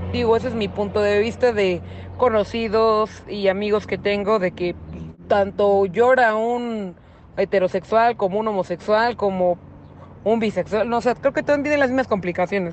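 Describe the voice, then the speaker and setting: At a medium pitch and moderate pace, a woman speaks in a normal speaking voice with ordinary pitch variation. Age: 20s. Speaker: interviewee. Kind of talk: testimony.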